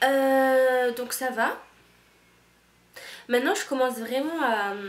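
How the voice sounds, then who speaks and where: In a strong Toulouse accent, a woman speaks very slowly in a high voice. Audible room echo surrounds her. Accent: strong southern French (Toulouse). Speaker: au pair vlogger. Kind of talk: casual vlog monologue. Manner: animated, casual.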